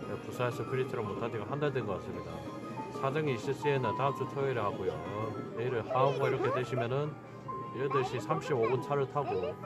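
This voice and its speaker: Loud music in the background plays as a man speaks at a moderate pace. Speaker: arcade game player vlogger. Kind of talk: casual vlog chat. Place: shop. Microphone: phone near.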